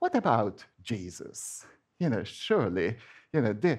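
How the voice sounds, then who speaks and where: Very slowly and with vocal fry, a man speaks in a Hungarian accent, his pitch swinging very widely. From Hungary. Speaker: church member giving a sermon. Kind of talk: sermon. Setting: church with congregation. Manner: halting, with frequent fillers and restarts.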